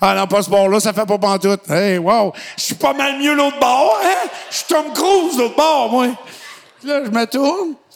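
A man's extremely high-pitched voice with very wide pitch swings, at a fairly slow pace, over noticeable background noise. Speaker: podcast host. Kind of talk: casual chat.

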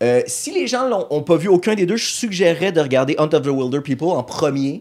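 A man with an unremarkable speaking voice uses lively intonation and keeps a moderate pace. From Montreal, Quebec. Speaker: comedian. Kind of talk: casual chat.

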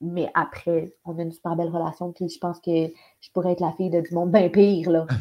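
This woman talks at a fairly quick pace in a monotone, flat intonation. Her loudness swings widely. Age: 20s. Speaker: actress. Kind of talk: casual chat.

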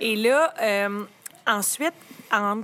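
In a Quebec accent, a woman with a fairly high pitch and a bright, sharp tone speaks at a very slow pace with lively intonation. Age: 30s. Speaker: lawyer. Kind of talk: casual chat.

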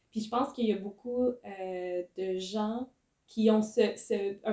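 In a Quebec accent, a woman speaks at a fairly high pitch with a dark, mellow tone and flat, monotone intonation. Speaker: podcast host. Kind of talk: interview conversation.

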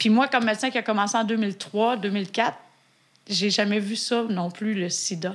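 Speaking in a Quebec accent, the voice moves at a fairly slow pace. The intonation stays fairly even. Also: woman, fairly high pitch for a woman. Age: 40s. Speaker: physician and podcast co-host. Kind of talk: casual chat.

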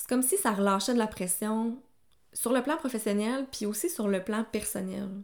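In a Quebec accent, a woman speaks with a fairly high pitch and ordinary pitch variation on a very clean recording with a silent background. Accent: Québécois French. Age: 30s. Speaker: nutritionist. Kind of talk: personal testimony monologue. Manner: casual, conversational.

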